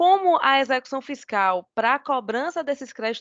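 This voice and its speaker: Moderately paced speech from a woman, high in pitch, swinging very widely. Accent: Bahian. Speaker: lawyer. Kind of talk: oral argument in court. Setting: video call. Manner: formal.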